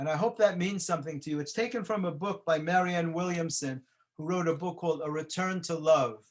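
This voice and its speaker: This man has a New York accent and a high pitch. He talks at a fairly quick pace. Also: ordinary pitch variation. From New York City (the Bronx). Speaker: motivational speaker. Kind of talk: motivational talk.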